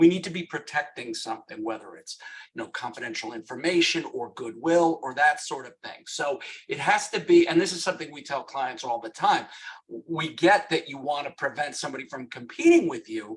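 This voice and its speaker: With a New York accent, a man speaks at a fairly quick pace and a fairly high pitch, his intonation lively and his loudness swinging widely. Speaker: lawyer. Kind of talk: webinar presentation. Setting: webinar.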